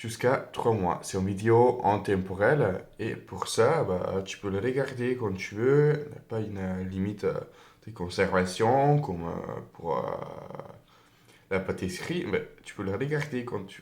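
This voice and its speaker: A man with a non-native accent speaks at a fairly slow pace against noticeable background noise. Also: medium pitch for a man, ordinary pitch variation, big swings in loudness. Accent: foreign accent in French. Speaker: tarot reader. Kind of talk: tarot reading to camera. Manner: hesitant, many fillers.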